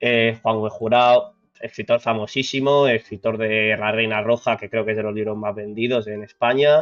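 A man talks in a monotone, flat intonation with hardly any pauses. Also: medium pitch for a man, moderate pace. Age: 30s. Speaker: podcast co-host. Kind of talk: casual chat.

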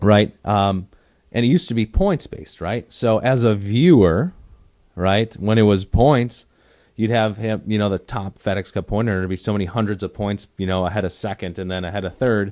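This is a man with an American accent. His fairly low pitch comes through on a very clean recording with a silent background. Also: ordinary pitch variation, moderate pace. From Wisconsin. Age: young. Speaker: golf teaching professional and podcast host. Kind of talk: casual chat. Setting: studio.

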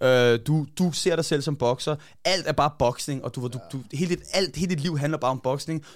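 A man talks at a moderate pace, fairly high in pitch, with ordinary pitch variation. The recording is very clean with a silent background. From Denmark, Copenhagen area (Hvidovre). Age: 30s. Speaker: boxing coach. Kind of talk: casual chat. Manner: halting, many fillers and repeated words.

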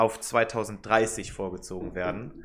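A man at a very slow pace, on a very clean recording with a silent background. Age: 20s. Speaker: political science student and podcast co-host. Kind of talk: casual chat.

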